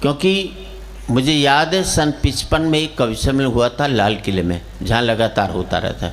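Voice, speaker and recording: With lively intonation and a medium pitch, a man speaks amid noticeable background noise. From Haryana, India. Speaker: comic poet. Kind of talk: live comic poetry stage performance. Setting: live stage before an audience.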